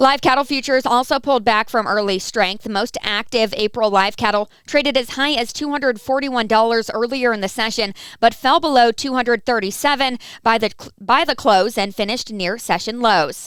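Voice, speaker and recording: A woman with a normal speaking voice at a fairly high pitch, a fairly quick pace with hardly any pauses, and ordinary pitch variation. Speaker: agricultural market news reporter. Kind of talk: radio farm market report.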